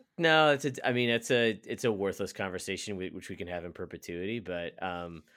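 This man has a plain, everyday voice and talks at a fairly quick pace with lively intonation. The recording is very clean and the background silent. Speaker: podcast co-host. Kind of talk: casual chat.

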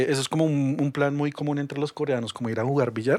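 A man with a plain, everyday voice speaks at a fairly high pitch and a fairly quick pace. The sound is dry and close, with no echo. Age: 30s. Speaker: podcast guest. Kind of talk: casual chat.

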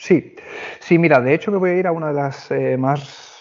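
A man speaks with fairly even intonation. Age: 30s. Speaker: hotel HR manager. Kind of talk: interview.

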